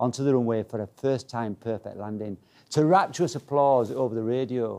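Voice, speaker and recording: Against a quiet background, a man with a Yorkshire accent talks at a fairly quick pace in a dark, mellow tone. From Leeds, Yorkshire. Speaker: motivational speaker. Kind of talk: keynote talk. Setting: stage with audience. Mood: humorous storytelling. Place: meeting room.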